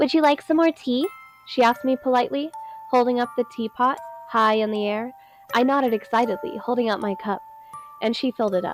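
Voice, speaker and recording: A woman with a fairly high pitch talks at a fairly quick pace. She leaves long, frequent pauses while music plays in the background. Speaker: amateur narrator. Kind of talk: horror story narration.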